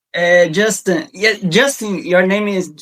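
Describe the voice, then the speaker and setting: A man's high voice in a Portuguese accent, at a fairly slow pace with ordinary pitch variation. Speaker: interviewer. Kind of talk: interview. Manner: halting.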